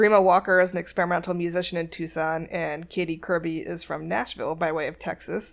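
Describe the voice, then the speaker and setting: A woman with an unremarkable speaking voice and a fairly low pitch talks at a fairly quick pace. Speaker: music podcast host. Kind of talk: casual solo music show hosting. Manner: casual, conversational.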